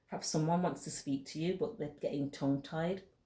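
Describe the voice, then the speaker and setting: Somewhat breathy, a woman's voice comes through. She talks at a moderate pace. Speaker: tarot reader. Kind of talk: tarot reading monologue.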